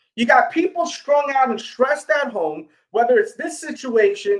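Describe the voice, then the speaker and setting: Speaking with a New York accent at a moderate pace, a man uses an extremely high pitch, an animated tone and very wide pitch swings. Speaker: sneaker YouTuber and livestream host. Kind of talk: casual livestream chat. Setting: live stream.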